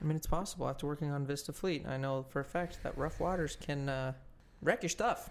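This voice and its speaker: This is a normal speaking voice. It moves at a fairly quick pace with ordinary pitch variation. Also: man, fairly high pitch for a man. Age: 20s. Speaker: podcast co-host. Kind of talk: casual chat.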